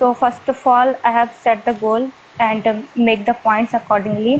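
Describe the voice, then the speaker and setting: A woman with an Indian accent speaks at a high pitch in a monotone, flat intonation. Noticeable background noise can be heard. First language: Hindi. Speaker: student with campus placement. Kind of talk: interview. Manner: halting, many fillers.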